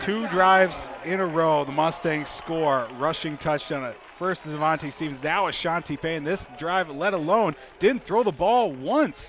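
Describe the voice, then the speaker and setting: Noticeable background noise sits under a man's fairly high voice. His pace is moderate and his pitch varies in an ordinary way. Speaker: color commentator. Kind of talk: football color commentary, analysing plays.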